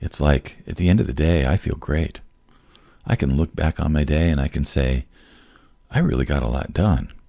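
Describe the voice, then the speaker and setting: With a very deep, low pitch and a dark, mellow tone, a man speaks at a moderate pace with vocal fry, ordinary pitch variation and long, frequent pauses. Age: 60s. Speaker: podcast host. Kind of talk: casual chat. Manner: animated.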